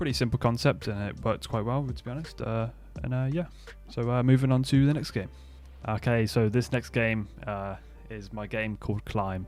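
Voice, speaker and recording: The speaker's intonation is lively. Music plays in the background. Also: man, medium pitch for a man. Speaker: indie game developer vlogger. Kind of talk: casual vlog narration. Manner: fast; hesitant with many fillers.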